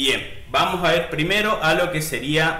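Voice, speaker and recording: Fairly high-pitched male voice against noticeable background noise. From Argentina, Misiones province. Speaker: digital marketing tutorial creator. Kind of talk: screen-share software tutorial. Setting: home recording with screen share. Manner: casual, with frequent fillers and repetitions.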